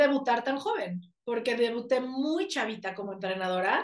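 A woman talks fairly slowly while her pitch rises and falls very widely. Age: 30s. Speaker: life coach and speaker. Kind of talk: interview conversation.

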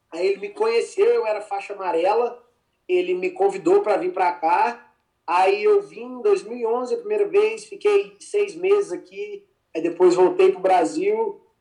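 An extremely high-pitched man's voice, dark and mellow in tone, at a moderate pace with very wide pitch swings. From Brazil, Minas Gerais (Formiga). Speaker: jiu-jitsu athlete. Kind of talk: casual interview. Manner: halting.

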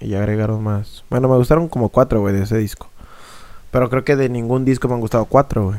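A very fast man with a dark, mellow tone, medium pitch and fairly even intonation. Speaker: podcast co-host. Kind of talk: casual chat.

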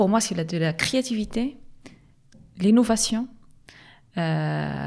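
On a very clean recording with a silent background, a woman with a medium pitch talks at a very slow pace. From Morocco, Agadir. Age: young. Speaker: social entrepreneur. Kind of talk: interview. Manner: halting.

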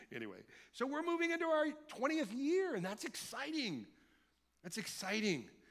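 Speaking at an extremely high pitch, a man has an animated tone and very wide pitch swings at a moderate pace. He leaves long, frequent pauses, and audible room echo is present. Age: 50s. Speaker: pastor. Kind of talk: sermon. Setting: church.

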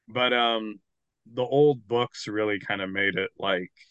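A man with a normal speaking voice, fairly low in pitch, with ordinary pitch variation. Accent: American. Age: 30s. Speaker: novelist and paleoartist. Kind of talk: casual chat.

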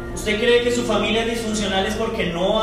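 Amid audible room echo and noticeable background noise, a man speaks in a high pitch with ordinary pitch variation. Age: 30s. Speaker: pastor. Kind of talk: sermon.

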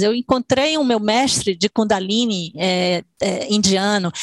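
A woman's fairly high-pitched voice comes through with a dry, close sound and no echo. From Salvador, Bahia, Brazil. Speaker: dancer and choreographer. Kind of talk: interview.

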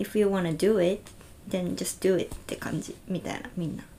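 The speaker has a strong Okinawan accent and uses fairly even intonation at a fairly slow pace. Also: woman. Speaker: podcast host. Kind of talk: casual chat. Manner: slow, relaxed.

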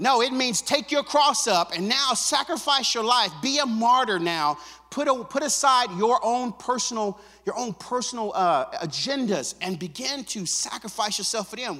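Projecting a raised voice at an extremely high pitch, a man talks at a moderate pace with lively intonation. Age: 50s. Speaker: pastor. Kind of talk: sermon.

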